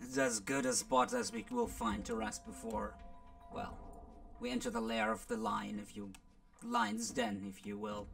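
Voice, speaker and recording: Clear background noise runs under a man's put-on character voice, which comes with long, frequent pauses. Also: moderate pace. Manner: practical, steady.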